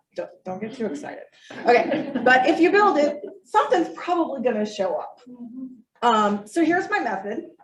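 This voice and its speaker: A high-pitched woman at a moderate pace, with very wide pitch swings, big swings in loudness and audible room echo. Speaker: master naturalist graduate presenter. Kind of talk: presentation.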